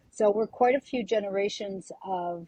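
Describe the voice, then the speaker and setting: Heard in a dry, close sound with no echo, a woman speaks at a moderate pace in a somewhat breathy, medium-pitched voice with ordinary pitch variation. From Quebec, Canada (Montreal). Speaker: singer. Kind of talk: interview.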